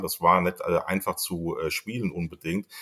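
A man speaks fairly slowly in a very clean recording where the background is silent. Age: 40s. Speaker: football fan club member. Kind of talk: casual chat.

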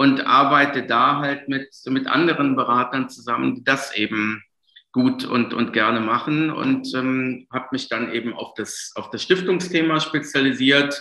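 Fairly high in pitch, a man speaks with a bright, sharp tone. His pace is fairly slow and his intonation fairly even. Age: 40s. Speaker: lawyer and tax advisor. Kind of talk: interview.

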